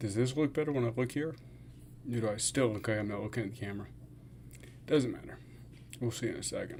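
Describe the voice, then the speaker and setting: A man with a medium pitch talks at a very fast pace yet takes long, frequent pauses. His voice is somewhat breathy with ordinary pitch variation. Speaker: fasting vlogger and streamer. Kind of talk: casual livestream chat. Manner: slurred words.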